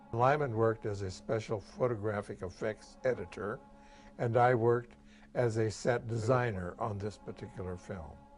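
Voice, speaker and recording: Music playing behind a man's moderately paced speech. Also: medium pitch for a man, ordinary pitch variation. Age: 80s+. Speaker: retired film set designer. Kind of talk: documentary interview.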